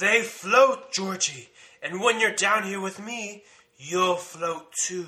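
The delivery is very slow. It comes in a put-on character voice. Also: man, high pitch for a man. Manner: growling, menacing.

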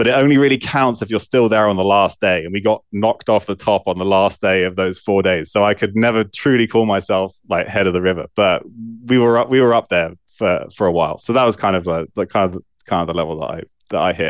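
Talking at a very fast pace, a man with an English accent uses a fairly low pitch and ordinary pitch variation against a quiet background. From southwest England. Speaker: physician and scientist. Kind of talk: interview.

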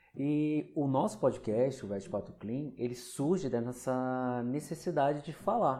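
A man with a dark, mellow tone speaks at a medium pitch and fairly slow pace with ordinary pitch variation. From Rio de Janeiro, Brazil. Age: 30s. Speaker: veterinary clinical pathologist, podcast host. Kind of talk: solo podcast monologue. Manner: conversational.

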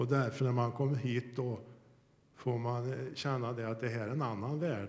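With audible room echo around him, a man speaks at medium pitch and a moderate pace, his intonation fairly even. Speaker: church member. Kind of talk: testimony. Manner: fluent.

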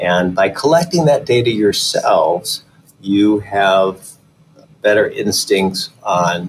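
This is a man speaking with a Midwestern American accent. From Michigan, suburban Detroit. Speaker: fertility doctor. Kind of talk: interview.

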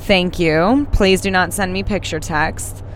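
Over noticeable background noise, a woman speaks at a medium pitch. Her intonation is lively. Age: 20s. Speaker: podcast host. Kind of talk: casual monologue. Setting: in a car.

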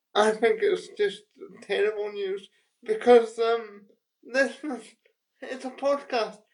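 A woman speaks with a British accent in a high voice. Her pace is very slow and her intonation lively. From UK. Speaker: podcast co-host. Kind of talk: casual chat.

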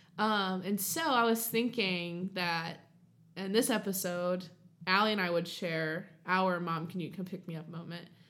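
A woman with an American accent, medium pitch, fairly even intonation and a fairly slow pace, plus audible room echo. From southern Ohio. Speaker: podcast co-host. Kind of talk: casual chat. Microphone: new USB studio mic.

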